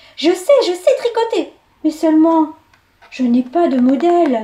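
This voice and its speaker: Extremely high pitch and a moderate pace in a woman's put-on character voice. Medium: read story.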